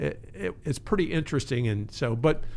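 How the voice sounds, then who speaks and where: A man with an American accent has an ordinary speaking voice at a medium pitch, talking at a fairly slow pace on a very clean recording with a silent background. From Maryland, US. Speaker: counseling center director and therapist. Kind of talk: casual interview.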